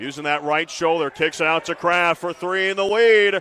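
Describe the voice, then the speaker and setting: A man speaks with a high pitch. Noticeable background noise runs behind him. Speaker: play-by-play sports broadcaster. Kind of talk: live basketball play-by-play call. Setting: TV broadcast booth.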